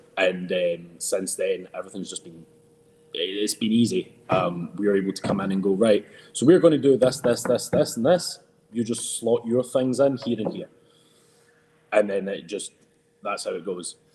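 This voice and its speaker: Speaking in a strong Scottish accent, a man with a medium pitch talks at a moderate pace, using lively intonation, big swings in loudness and long, frequent pauses. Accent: thick Scottish. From Scotland. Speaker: professional wrestler. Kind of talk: podcast interview. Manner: hesitant, many fillers.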